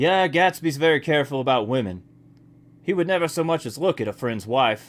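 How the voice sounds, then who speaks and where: Using a put-on character voice, a man talks at a fairly quick pace with lively intonation and a fairly high pitch. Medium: read story. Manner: solemn.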